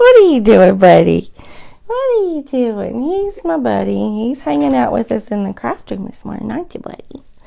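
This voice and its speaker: This woman keeps a moderate pace while noticeable background noise runs underneath. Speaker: craft video host. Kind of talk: live craft tutorial. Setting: home craft room, live stream. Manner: chatty, conversational.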